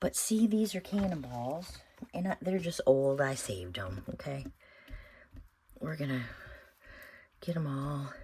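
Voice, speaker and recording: A woman's loud, mumbling, very deep and low voice, dark and mellow in tone, with very wide pitch swings, a fairly slow pace and long, frequent pauses. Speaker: craft video maker. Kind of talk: tutorial. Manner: thinking out loud.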